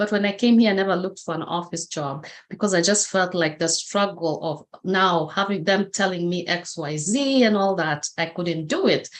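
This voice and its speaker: A woman in a Kenyan accent talks with hardly any pauses. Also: medium pitch for a woman, ordinary pitch variation, moderate pace. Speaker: motivational speaker. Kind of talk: interview testimony.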